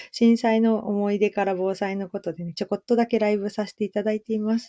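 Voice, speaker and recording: Against a quiet background, a woman's fairly high voice has a dark, mellow tone and a dry, close sound with no echo. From Japan, Shizuoka. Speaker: clothing maker and livestreamer. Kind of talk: casual live-stream monologue. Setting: live audio stream. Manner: frequent fillers, meandering.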